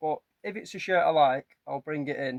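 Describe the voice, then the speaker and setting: A man talks at a moderate pace with a northern English accent. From northern England. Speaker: collectibles reseller. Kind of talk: casual vlog narration. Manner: casual, some repetitions.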